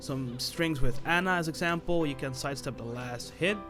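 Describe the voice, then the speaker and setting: With a non-native accent and ordinary pitch variation, the speaker talks at a moderate pace as music plays in the background. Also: man. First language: non-native English speaker. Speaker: fighting game guide maker. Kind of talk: gaming tutorial narration.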